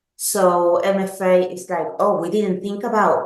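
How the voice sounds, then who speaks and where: A woman speaks very slowly with a northern English accent. Her pitch is medium and her intonation fairly even. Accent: northern English, self-described. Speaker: product manager. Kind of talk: product presentation webinar. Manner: halting, frequent ums and self-corrections.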